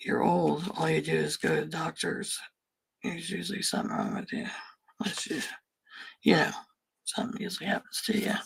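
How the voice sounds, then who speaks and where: The speech moves at a fairly quick pace. Long pauses come often. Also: woman. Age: 60s. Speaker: crafting livestreamer. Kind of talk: casual live stream chat while crafting. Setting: live stream.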